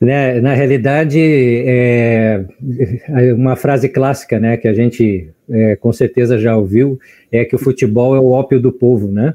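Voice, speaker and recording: A man speaks at a fairly slow pace in a dark, mellow tone, keeping his loudness very even. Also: medium pitch for a man, fairly even intonation. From Brazil, Porto Alegre (Rio Grande do Sul). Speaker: biologist and teacher. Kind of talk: casual chat.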